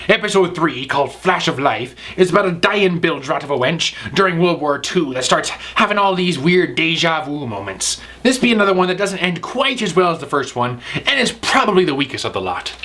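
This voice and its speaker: A man puts on a gruff character voice, pitched high for a man and moving at a fairly quick pace. Clear background noise runs behind him. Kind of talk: comic pirate speech. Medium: comedy sketch. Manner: gruff, swaggering, pirate slang.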